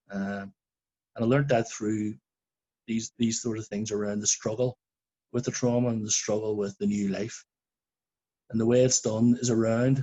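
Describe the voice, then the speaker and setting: With a Belfast accent, a man speaks at a moderate pace and medium pitch in a monotone, flat intonation. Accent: Belfast Northern Irish. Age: 40s. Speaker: shooting survivor witness. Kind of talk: testimony.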